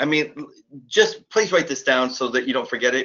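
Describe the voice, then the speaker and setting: A man speaks with a fairly high pitch for a man. His intonation is lively. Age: 40s. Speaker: online marketing course seller. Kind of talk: live webinar sales pitch. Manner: animated.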